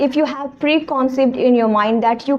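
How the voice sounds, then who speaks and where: There is noticeable background noise behind a woman speaking with an Indian accent. Her pitch is high and her pace moderate. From India, Hindi-speaking region. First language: Hindi. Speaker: English teacher YouTuber. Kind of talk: motivational talk to camera.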